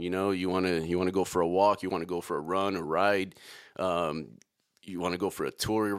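A man with a Chicago accent speaks in a very deep, low pitch at a fairly quick pace. His intonation is monotone and flat on a very clean recording with a silent background. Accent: Chicago American. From Chicago, South Side. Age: 40s. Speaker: podcast host, entrepreneur. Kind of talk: casual podcast monologue.

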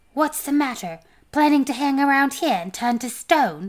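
A put-on character voice, hissing and lively in intonation, moves at a moderate pace in a very clean recording with a silent background. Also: woman, high pitch for a woman. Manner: impatient, mocking.

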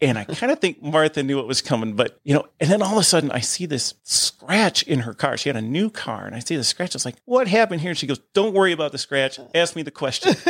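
In a dry, close sound with no echo, a man with an American accent and fairly high pitch races along at a very fast pace with hardly any pauses and very wide pitch swings. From Ohio, US Midwest. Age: 50s. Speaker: church deacon and musician. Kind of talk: testimony. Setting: studio.

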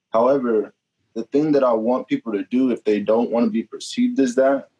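With a plain, everyday voice, a man speaks at a moderate pace and with ordinary pitch variation in an American accent, the sound dry and close with no echo. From Kansas, Topeka. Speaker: student association president. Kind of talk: casual interview.

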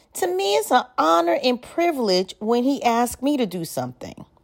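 The pitch swings very widely. The pace is moderate. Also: woman. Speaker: spoken word poet. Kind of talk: spoken word monologue, testimony-style, reflective and confessional. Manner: animated, conversational, rhetorical questions, humorous and colloquial; earnest, preacher-like.

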